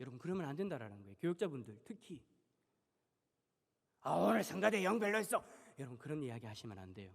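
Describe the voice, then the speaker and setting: A man speaks very fast yet with long, frequent pauses, his fairly high voice showing vocal fry. His pitch swings very widely and his loudness shifts a lot. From Busan, South Korea. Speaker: pastor. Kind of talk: sermon. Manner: animated.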